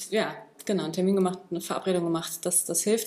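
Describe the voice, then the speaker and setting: A woman's medium-pitched voice at a very fast pace, ordinary pitch variation, and noticeable background noise. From Berlin, Germany. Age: 30s. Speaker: martial arts and fitness trainer. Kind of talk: casual interview. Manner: halting, many fillers.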